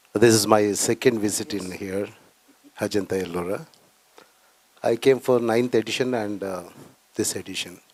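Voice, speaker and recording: Speaking with an Indian accent, a man uses a fairly low pitch and fairly even intonation at a moderate pace, with long, frequent pauses. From coastal Karnataka, India. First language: Tulu. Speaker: filmmaker. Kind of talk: panel discussion.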